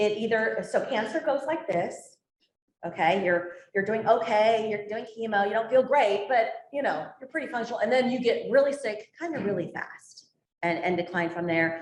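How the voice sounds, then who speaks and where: Speaking in a normal speaking voice, a woman keeps a moderate pace. Her pitch is fairly high, and her intonation is lively. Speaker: nurse and palliative care leader. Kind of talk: presentation with Q&A.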